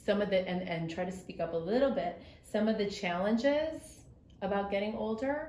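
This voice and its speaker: Against noticeable background noise and audible room echo, a woman speaks at a moderate pace with medium pitch and lively intonation. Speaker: graduate student interviewer. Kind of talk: interview. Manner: loud.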